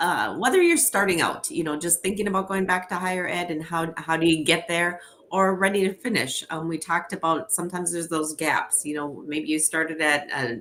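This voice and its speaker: A woman with a Minnesotan accent talks at a fairly quick pace. Her voice is fairly low, and her intonation is fairly even. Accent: Minnesota. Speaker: education organization representative. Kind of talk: webinar presentation. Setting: home office, live stream. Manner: fast.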